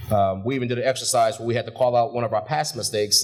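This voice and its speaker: Very fast speech with music in the background. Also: man. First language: not English. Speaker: graduate speaker, shipyard supervisor. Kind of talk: graduation speech. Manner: casual, with filler words.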